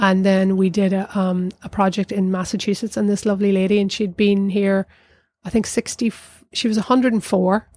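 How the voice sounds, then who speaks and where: At a fairly quick pace, the voice speaks in a flat monotone with a South Down accent, a dark, mellow tone and very even loudness. The sound is dry and close, with no echo. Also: woman, medium pitch for a woman, very clean recording, silent background. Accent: Northern Irish, South Down. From Northern Ireland, County Down. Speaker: arts centre director. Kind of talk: casual interview chat.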